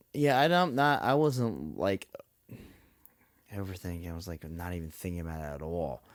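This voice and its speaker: A man with a very deep, low voice speaks at a moderate pace, his pitch swinging very widely and his loudness rising and falling sharply. Long pauses come often, and the recording is very clean with a silent background. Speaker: podcast co-host. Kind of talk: casual chat. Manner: soft-spoken.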